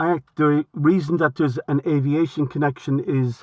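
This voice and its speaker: In a Limerick accent, a man speaks at a fairly slow pace with fairly even intonation. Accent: Irish (Limerick). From Ireland, Limerick. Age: 60s. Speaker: retired aviation historian and author. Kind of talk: casual chat. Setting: phone call. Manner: halting.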